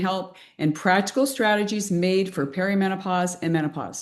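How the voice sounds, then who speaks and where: A woman with a plain, everyday voice at medium pitch, ordinary pitch variation and a fairly quick pace, over a quiet background. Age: 60s. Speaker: fitness coach and interviewer. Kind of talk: interview.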